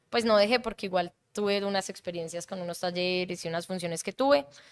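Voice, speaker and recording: This is an unremarkable speaking voice at a fairly quick pace. The intonation stays fairly even. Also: woman. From Colombia (Bogotá until about age 11). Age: 30s. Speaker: improviser, comedian and actress. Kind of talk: casual interview.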